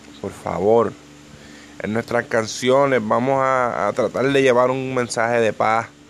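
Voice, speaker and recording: This man speaks with a Puerto Rican accent. His intonation stays fairly even. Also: medium pitch for a man, fairly slow pace. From Puerto Rico, Ponce (south). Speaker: rapper and podcaster. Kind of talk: casual monologue. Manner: halting, many fillers and repetitions.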